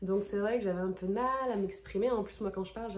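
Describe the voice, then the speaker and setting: Somewhat breathy and dark, mellow in tone, a woman speaks at a medium pitch and fairly quick pace with fairly even intonation. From France. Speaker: former au pair, vlogger. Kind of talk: casual Q&A vlog. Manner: hesitant, many fillers.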